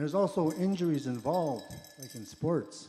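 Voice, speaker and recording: This man has a fairly high pitch. He speaks at a moderate pace. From Montana, Blackfeet Reservation. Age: 60s. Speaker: powwow dancer. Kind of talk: interview testimony. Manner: casual, conversational.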